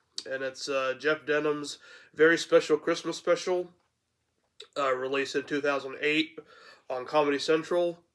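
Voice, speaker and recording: A man with fairly high pitch and monotone, flat intonation, broken by long, frequent pauses. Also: moderate pace. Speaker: YouTube reviewer. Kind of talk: casual review vlog. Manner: halting with many fillers.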